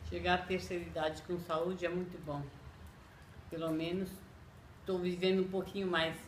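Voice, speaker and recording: A woman speaks at a moderate pace in a fairly low, monotone, flat voice, with long, frequent pauses, audible room echo and noticeable background noise. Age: 60s. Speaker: domestic worker. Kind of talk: interview testimony.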